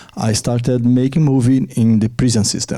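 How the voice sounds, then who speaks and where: A man speaks at a medium pitch with fairly even intonation. Noticeable background noise runs behind him. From Brazil. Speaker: film director. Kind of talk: panel discussion.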